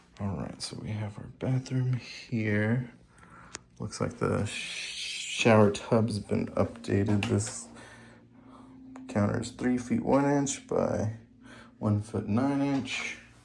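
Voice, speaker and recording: With noticeable background noise behind him, a man speaks at a very slow pace, leaving long, frequent pauses. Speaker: home inspector or house walkthrough guide. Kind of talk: property walkthrough narration. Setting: indoors, walking through a house. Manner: casual, with many fillers; speaking quietly near home office.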